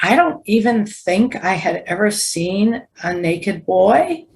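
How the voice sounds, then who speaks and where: With an American accent, the voice is somewhat breathy and shows ordinary pitch variation. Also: woman. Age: 70s. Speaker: advocacy group director. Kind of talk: podcast interview.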